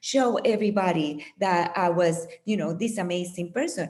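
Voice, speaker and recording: A woman speaks at medium pitch in a non-native accent. She goes at a fairly slow pace with lively intonation. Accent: foreign accent, persistent. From Puerto Rico. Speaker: meditation teacher and author. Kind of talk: interview.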